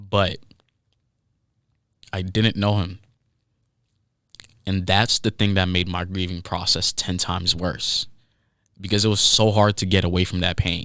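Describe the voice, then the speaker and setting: The recording is very clean with a silent background, and a man with a slight non-native accent speaks at a fairly slow pace in a very deep, low, bright, sharp voice. His intonation is monotone and flat, and he takes long, frequent pauses. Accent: slight foreign accent on certain words. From Haiti. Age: 20s. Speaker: podcast host. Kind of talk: personal monologue podcast. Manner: casual, halting with restarts.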